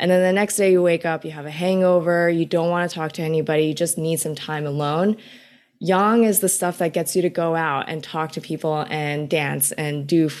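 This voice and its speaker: A woman with an American accent has a normal speaking voice. She keeps a moderate pace and fairly even intonation. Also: fairly low pitch for a woman, very clean recording, silent background. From New York City, Queens. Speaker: business student and recipe creator. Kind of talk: casual interview.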